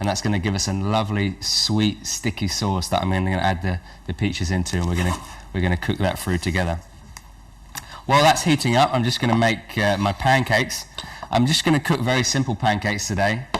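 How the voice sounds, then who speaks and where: A man's fairly low voice with an English accent, at a fairly quick pace, with ordinary pitch variation and noticeable background noise. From England. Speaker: cooking show host. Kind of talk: cooking demonstration. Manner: halting, with many fillers.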